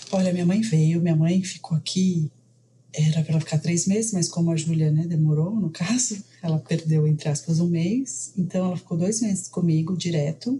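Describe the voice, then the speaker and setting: A woman with an unremarkable speaking voice, fairly low in pitch with ordinary pitch variation, very even loudness and a moderate pace. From Brazil. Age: 40s. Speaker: mother sharing birth story. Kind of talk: interview testimony.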